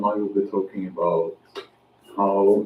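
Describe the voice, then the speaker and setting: Very slow delivery with a Norwegian accent. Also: man. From Norway. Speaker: outdoor vlogger. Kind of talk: casual vlog monologue. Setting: outdoors in woods. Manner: halting, many fillers.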